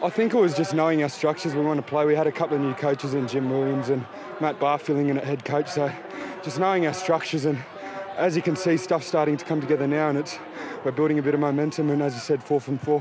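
Very fast pace and fairly even intonation, with a dry sound with no echo and noticeable background noise. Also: man, fairly high pitch for a man. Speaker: rugby player interviewed after match. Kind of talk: post-match interview. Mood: calm, upbeat after a win. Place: stadium. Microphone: handheld.

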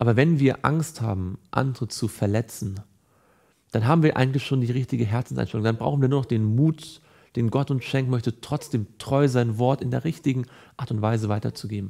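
A man speaks at a fairly quick pace and a medium pitch, with ordinary pitch variation. His tone is dark and mellow over a quiet background. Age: 30s. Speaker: evangelist. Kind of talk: Bible teaching / devotional. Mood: calm, earnest. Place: studio.

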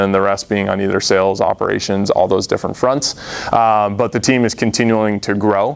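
A man with an American accent speaks at a moderate pace in a fairly low pitch, his intonation monotone and flat. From Massachusetts. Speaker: startup founder; presenter. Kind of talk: audience Q&A answers; business pitch. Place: meeting room. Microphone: lapel.

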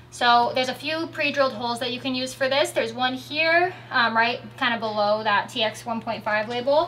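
A woman's high voice over light background noise. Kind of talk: tutorial. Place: car.

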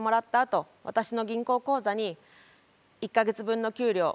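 At a moderate pace, a woman speaks in a fairly high pitch. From Japan. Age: 30s. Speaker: lawyer and local politician; lawyer, local politician. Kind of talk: speech. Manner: formal. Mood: earnest, reflective. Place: stage. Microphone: lapel.

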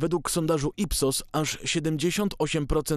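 A man talks in a fairly high pitch, with his pitch varying in an ordinary way. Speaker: news presenter. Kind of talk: formal newsreading. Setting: studio. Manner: formal, brisk and even-paced, steady delivery; neutral, measured, authoritative tone.

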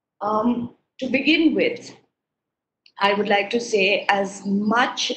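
A woman talks at a fairly slow pace. Audible room echo and light background noise surround her voice. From India. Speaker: research advisor. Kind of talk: webinar talk. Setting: video call. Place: home room. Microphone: video call.

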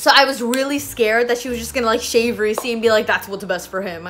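Her pace is very fast and her pitch high. The woman's pitch varies in an ordinary way. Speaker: vlogger. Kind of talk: casual vlog storytime chat. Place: home room. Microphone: phone near.

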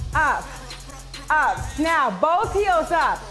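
The voice is raised and projected. Music plays in the background. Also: woman. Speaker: fitness instructor. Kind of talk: workout class cueing and counting. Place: gym. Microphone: headset.

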